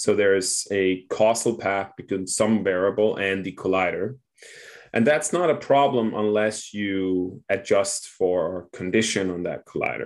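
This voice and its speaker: A man with a Danish accent speaks in a fairly low voice with ordinary pitch variation on a very clean recording with a silent background. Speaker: doctor and clinical researcher. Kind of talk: interview explaining a concept.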